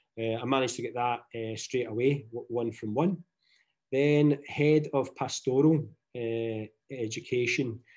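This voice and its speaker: Fairly even intonation marks speech that moves at a fairly slow pace. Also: man, medium pitch for a man. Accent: Scottish. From Scotland, Glasgow. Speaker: teacher. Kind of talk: webinar presentation.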